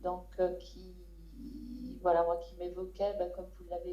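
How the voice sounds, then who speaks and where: Audible room echo surrounds a woman as she speaks. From western France, Saint-Nazaire area. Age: 50s. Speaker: photographer, prize winner. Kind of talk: prize acceptance speech. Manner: halting, many hesitations.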